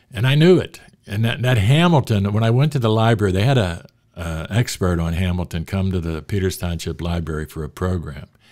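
Speaking at a fairly quick pace with an American accent, a man uses lively intonation at a very deep, low pitch against a quiet background. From Pittsburgh, Pennsylvania. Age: 70s. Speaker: sports writer and author; podcast guest. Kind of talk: casual interview conversation. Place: studio. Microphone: studio mic.

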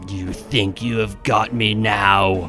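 A man puts on a character voice, fairly low and rumbling. Clear music plays in the background. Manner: menacing.

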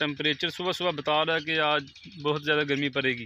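A man's voice comes through dry with no echo over light background noise. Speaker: village vlogger. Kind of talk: casual vlog chat. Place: open country. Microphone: phone near.

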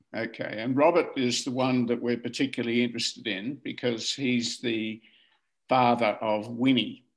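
A man with an Australian accent speaks at a moderate pace in a medium-pitched, monotone voice against a quiet background. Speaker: family historian. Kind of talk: casual chat. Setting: video call. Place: home room. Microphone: video call.

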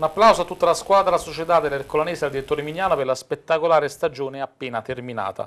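A man talks at a very fast pace with hardly any pauses. His pitch is fairly high and varies in an ordinary way. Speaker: sports TV host. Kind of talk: live TV sports talk show. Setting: TV studio. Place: studio. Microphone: lapel.

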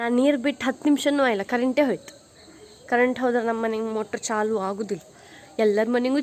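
High-pitched woman's voice with ordinary pitch variation. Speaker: vlogger. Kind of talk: casual vlog. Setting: outdoors in garden.

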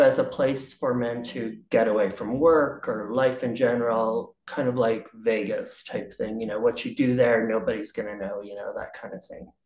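A man speaks in a room with audible echo and a quiet background. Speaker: interviewee. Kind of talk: interview answer. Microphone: video call.

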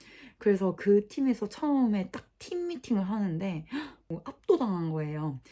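Her pitch medium and her tone dark and mellow, a woman swings her pitch very widely in a very clean recording with a silent background. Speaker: social worker and vlogger. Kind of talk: casual vlog talk to camera.

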